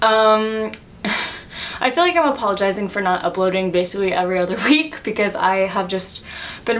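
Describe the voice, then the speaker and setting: Over noticeable background noise, a woman talks at a fairly quick pace with lively intonation. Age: young. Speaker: poet. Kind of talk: casual talk to camera.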